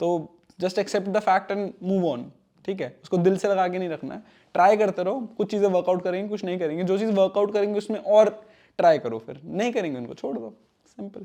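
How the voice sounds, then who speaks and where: A man's high-pitched voice with a dark, mellow tone, ordinary pitch variation, big swings in loudness and a moderate pace. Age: 20s. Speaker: software engineer and YouTuber. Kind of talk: Q&A casual talk to camera. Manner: casual, conversational Hinglish.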